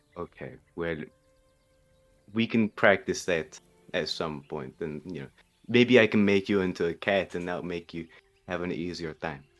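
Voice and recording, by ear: Over music in the background, a man with a very deep, low pitch talks at a moderate pace with ordinary pitch variation, long, frequent pauses and big swings in loudness.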